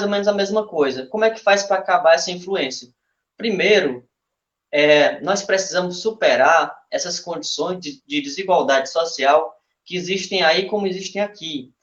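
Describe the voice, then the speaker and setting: Fairly slow speech from a man pitched high, with ordinary pitch variation. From Brazil, Ceará (Massapê). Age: 20s. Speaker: local political pre-candidate. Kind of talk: political speech in a live stream. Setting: online live stream.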